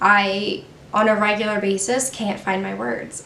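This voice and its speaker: A woman's voice carries audible room echo. Noticeable background noise is present. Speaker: beauty vlogger. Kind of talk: personal talk to camera. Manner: halting, stumbles over words.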